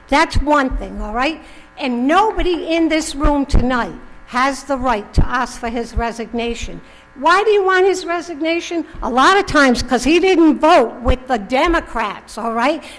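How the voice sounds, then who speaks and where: Over noticeable background noise and audible room echo, a woman talks at a moderate pace in a high voice with lively intonation. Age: 70s. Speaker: resident speaking at public comment. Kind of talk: public comment speech. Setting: town council meeting with audience. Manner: animated.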